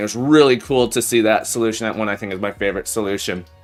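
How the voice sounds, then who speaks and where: The speaker uses lively intonation while music plays in the background. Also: man. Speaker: programming live streamer. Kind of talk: live coding stream chat. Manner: casual, halting with repetitions.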